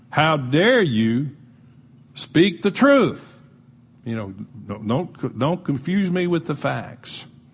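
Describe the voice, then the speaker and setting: At a very slow pace, a man speaks in a somewhat breathy voice, fairly high in pitch with very wide pitch swings, against a quiet background. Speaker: pastor. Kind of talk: sermon. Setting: church.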